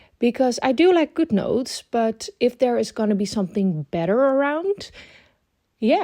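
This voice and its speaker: With a Dutch accent, a woman speaks at a high pitch and a moderate pace, her dark, mellow tone moving through very wide pitch swings. The sound is dry and close with no echo, on a very clean recording with a silent background. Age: 20s. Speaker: planner YouTuber. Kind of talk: casual vlog tutorial.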